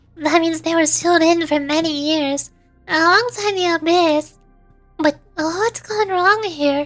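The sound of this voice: Faint music plays in the background as a woman uses a put-on character voice. She speaks at a fairly slow pace.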